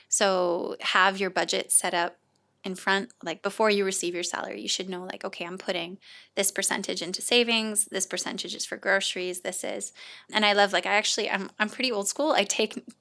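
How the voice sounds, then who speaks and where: A bright, sharp tone at a fairly quick pace, with fairly even intonation and a Canadian accent, in a very clean recording over a silent background. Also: woman, medium pitch for a woman. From Canada. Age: 30s. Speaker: charity shop founder. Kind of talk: podcast interview.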